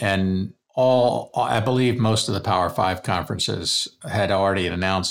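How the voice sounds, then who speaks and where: This man has an ordinary speaking voice with a fairly low pitch and an American accent. His intonation stays fairly even. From US Maryland. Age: 60s. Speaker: university president emeritus and part-time faculty. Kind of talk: interview.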